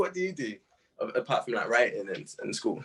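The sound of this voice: Talking at a fairly quick pace, a man has a fairly bright tone. A slightly husky edge runs through it.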